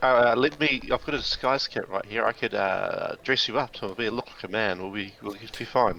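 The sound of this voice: With a bright, sharp tone and some vocal fry, a man speaks at a moderate pace in a fairly low pitch with ordinary pitch variation.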